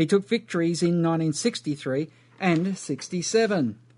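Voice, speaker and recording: This man has a fairly high pitch and ordinary pitch variation. He talks with an Australian accent against a quiet background. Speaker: radio host. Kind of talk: news reading.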